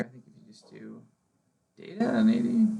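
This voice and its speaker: A man's voice with audible room echo. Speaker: GIS trainer showing colleagues. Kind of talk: internal training tutorial. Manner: fast; casual, many fillers.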